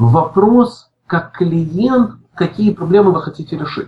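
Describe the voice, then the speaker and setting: A man speaks at a very slow pace. His high voice carries lively intonation. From Ukraine, Odesa. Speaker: IT department head. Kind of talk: interview. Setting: remote call.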